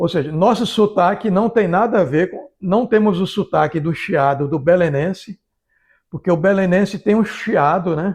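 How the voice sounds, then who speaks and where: A high-pitched man with ordinary pitch variation, in a quiet background. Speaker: vlogger. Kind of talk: casual talk to camera. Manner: hesitant, repeating words.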